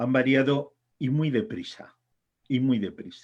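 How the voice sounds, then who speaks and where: A man talks very slowly. Nothing can be heard behind him. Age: 60s. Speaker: author and editor. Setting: congress panel.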